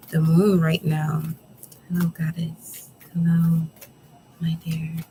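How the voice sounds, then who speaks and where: A soft-spoken voice moving at a very slow pace. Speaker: tarot reader. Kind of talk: tarot reading. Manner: relaxed.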